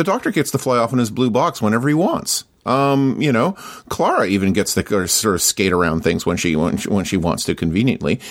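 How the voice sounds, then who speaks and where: A man's medium-pitched voice with a Canadian accent, very wide pitch swings, a fairly quick pace and very even loudness, in a very clean recording with a silent background. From Canada. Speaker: podcaster. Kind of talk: casual chat. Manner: halting.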